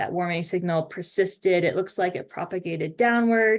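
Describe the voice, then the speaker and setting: In a plain, everyday voice, a woman with an American accent speaks at a moderate pace and medium pitch. Her pitch varies in an ordinary way. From Maine, US Northeast. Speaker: oceanographer lecturer. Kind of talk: lecture.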